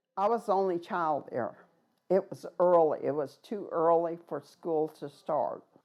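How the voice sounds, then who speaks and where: A woman speaks at a fairly slow pace in a fairly low pitch. It is an unremarkable speaking voice. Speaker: boarding school survivor. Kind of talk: testimony.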